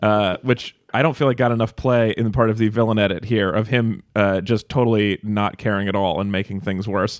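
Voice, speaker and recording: Using a plain, everyday voice, a man with an American accent speaks at a fairly quick pace with fairly even intonation. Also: fairly low pitch for a man, hardly any pauses. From Nevada. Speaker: podcast host. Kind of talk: casual chat.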